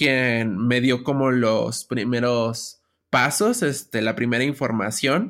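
The voice moves at a very slow pace on a very clean recording with a silent background. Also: woman. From Mexico City (rural Xochimilco). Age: 20s. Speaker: craft brewer and entrepreneur. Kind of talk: interview.

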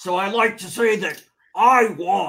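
This man's voice has a high pitch, a bright, sharp tone and ordinary pitch variation. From Chicago area. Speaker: actor and cosplayer. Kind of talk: casual chat.

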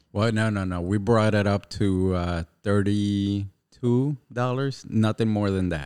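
A man speaks in an unremarkable speaking voice, fairly low in pitch, at a fairly slow pace with hardly any pauses and fairly even intonation. The recording is very clean, with a silent background and a dry, close sound free of echo. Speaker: podcast host. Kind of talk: casual religious podcast chat.

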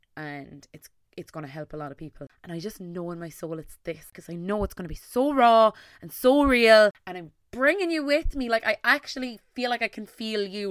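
In an Irish accent, the speaker talks at a moderate pace in an animated tone with lively intonation, on a very clean recording with a silent background and a dry, close sound with no echo. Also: woman. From Ireland, Tipperary. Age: 20s. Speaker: podcast host and content creator. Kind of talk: solo podcast monologue.

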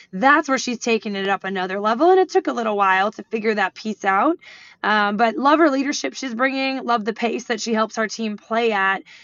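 This woman has an unremarkable speaking voice, pitched fairly high. She talks fairly quickly with lively intonation. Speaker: women's basketball head coach. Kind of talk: interview.

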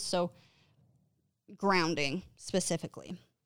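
A woman with a Western US accent speaks with fairly even intonation. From northern Utah, US. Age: 20s. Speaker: podcast host. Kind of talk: casual monologue. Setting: home recording setup.

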